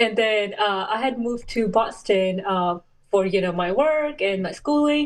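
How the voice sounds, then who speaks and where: At a fairly slow pace, a woman with a non-native accent speaks in a fairly high pitch with lively intonation. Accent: foreign. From Saudi Arabia, Pakistani family. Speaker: race car driver and clinical researcher. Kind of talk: interview.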